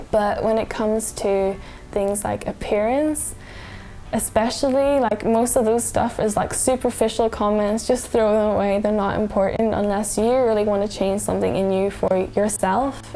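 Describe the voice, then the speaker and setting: Fairly even intonation at a moderate pace, over noticeable background noise. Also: woman, fairly high pitch for a woman. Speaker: vlogger. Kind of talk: casual talk to camera.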